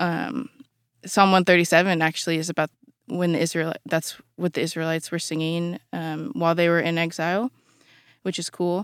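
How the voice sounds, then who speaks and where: A woman with an unremarkable speaking voice talks at a moderate pace, her pitch fairly low and her intonation fairly even. The sound is dry and close with no echo, on a very clean recording with a silent background. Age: 20s. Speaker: university student and former podcast intern. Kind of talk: casual Bible study discussion. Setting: podcast studio.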